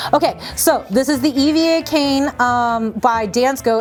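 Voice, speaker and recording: Noticeable background noise is present. The voice carries an animated tone. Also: woman. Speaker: shoe store owner. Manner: fast.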